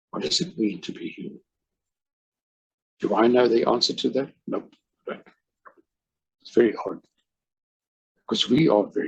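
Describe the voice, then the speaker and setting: A man with a South African accent speaks at a moderate pace, leaving long, frequent pauses. His loudness swings widely. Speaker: life coach. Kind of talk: casual chat.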